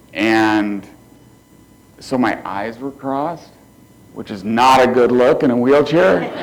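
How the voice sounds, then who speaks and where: A man with a medium-pitched voice and ordinary pitch variation speaks at a very slow pace with long, frequent pauses and big swings in loudness, over noticeable background noise and audible room echo. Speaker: motivational speaker, quadriplegic. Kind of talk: keynote speech. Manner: quiet, cannot raise voice.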